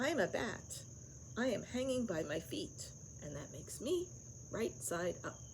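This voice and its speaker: A woman puts on a squeaky character voice at a medium pitch and a moderate pace. Long pauses come often, and the background noise is loud. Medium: read story.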